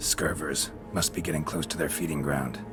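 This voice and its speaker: A man speaks in a put-on character voice at a fairly quick pace. Loud background noise fills the recording. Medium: machinima. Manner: terse, gruff, clipped.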